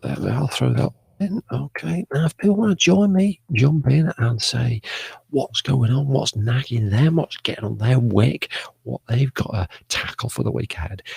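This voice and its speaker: Whispering quietly with a somewhat breathy voice, a man with an English accent comes through in a dry, close sound with no echo. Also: moderate pace. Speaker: live stream host. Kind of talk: casual live stream chat. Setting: home studio broadcast. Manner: quiet, whispering.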